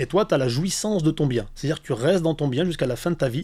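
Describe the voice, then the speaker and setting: On a very clean recording with a silent background, a man's fairly high voice carries a dark, mellow tone. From Valence, Drôme, southeastern France. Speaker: real estate agent. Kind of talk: podcast interview. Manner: animated.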